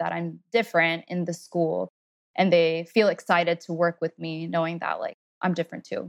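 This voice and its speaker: With an American accent and a normal speaking voice, a woman speaks at a moderate pace and fairly low pitch, in a very clean recording with a silent background and a dry, close sound with no echo. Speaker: artist and special education teacher. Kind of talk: interview.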